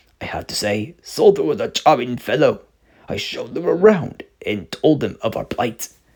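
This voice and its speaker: A man's put-on character voice at a moderate pace. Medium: read story. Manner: formal, regal.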